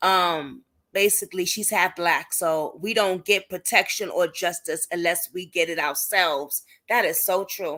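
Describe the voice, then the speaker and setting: A woman talks at a fairly slow pace in a bright, sharp tone at medium pitch, on a very clean recording with a silent background. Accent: Brooklyn. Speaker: YouTube commentator on police cases. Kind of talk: livestream chat reading viewer comments. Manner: animated.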